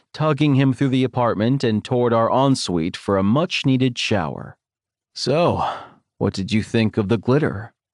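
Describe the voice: Pitch variation is ordinary in this plain reading aloud. It is quiet in the background.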